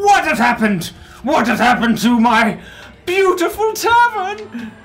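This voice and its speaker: This is a put-on character voice with fairly high pitch and very wide swings in pitch, delivered at a moderate pace. Music plays in the background. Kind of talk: in-character roleplay. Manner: enraged, indignant, anguished. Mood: dismayed, theatrical.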